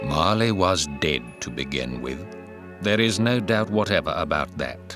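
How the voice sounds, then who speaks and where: A man's very deep, low voice with very wide pitch swings at a fairly slow pace, music in the background. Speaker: professional audiobook narrator. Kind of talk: audiobook narration of a classic novel.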